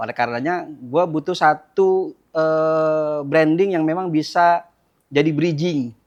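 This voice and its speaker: Fairly even intonation from a man, delivered at a very slow tempo. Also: fairly high pitch for a man. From Jakarta, Betawi (Cawang). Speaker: city council member. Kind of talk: casual chat.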